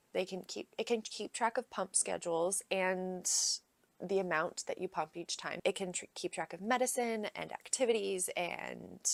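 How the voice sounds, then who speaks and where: With vocal fry and ordinary pitch variation, the voice moves at a moderate pace, recorded dry and close with no echo against a very clean, silent background. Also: woman, medium pitch for a woman. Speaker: parenting vlogger. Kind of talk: casual tutorial vlog.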